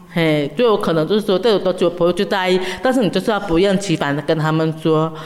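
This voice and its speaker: Noticeable background noise runs beneath a woman's fairly low-pitched voice. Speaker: special education teacher. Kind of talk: interview.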